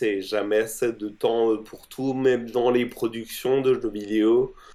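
This man's voice sits at a medium pitch. He talks at a very slow pace. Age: 30s. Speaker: game accessibility and UX consultant. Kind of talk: interview.

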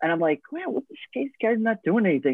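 This is a man talking. He has an American accent. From Long Island, New York. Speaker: podcast host. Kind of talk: casual chat.

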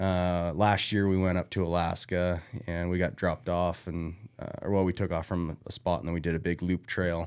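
In a very clean recording with a silent background, a man with a very deep, low voice speaks at a moderate pace in a monotone, flat intonation. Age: 30s. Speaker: hunter. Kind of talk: casual chat.

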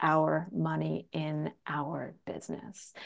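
A woman speaks with a Canadian accent. The background is quiet. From rural Canada. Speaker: real estate agent and trainer. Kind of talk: casual interview.

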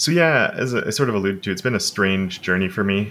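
On a very clean recording with a silent background, a man with a Montreal accent speaks in a bright, sharp tone. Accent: English-speaking Montreal Canadian. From Quebec, Canada (Montreal suburbs, anglophone). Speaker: web development educator. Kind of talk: casual interview conversation.

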